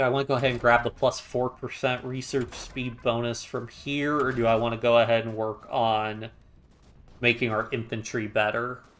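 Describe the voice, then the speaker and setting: His intonation is flat and monotone at a medium pitch. The man keeps a moderate pace. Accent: American. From United States. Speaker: gaming streamer. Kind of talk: live stream commentary. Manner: casual, hesitant with fillers.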